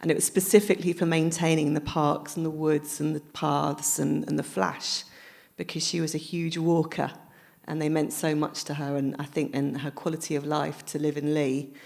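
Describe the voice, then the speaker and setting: A woman with a southern English accent, very deep and low in pitch with vocal fry and fairly even intonation, on a very clean recording with a silent background. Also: moderate pace. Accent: southern English, flat vowels. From London. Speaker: author. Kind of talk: live public interview. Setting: library event with audience.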